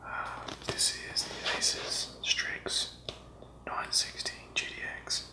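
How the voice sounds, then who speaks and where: Someone whispers at a very slow pace. Long, frequent pauses break up the speech. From Australia. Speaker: hobbyist unboxer. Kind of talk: ASMR unboxing. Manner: soft-spoken. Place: home room.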